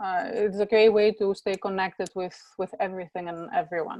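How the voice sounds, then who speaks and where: Speaking at a moderate pace with a Greek accent, a woman keeps a medium pitch and fairly even intonation. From Greece, Athens. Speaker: professor. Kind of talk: interview.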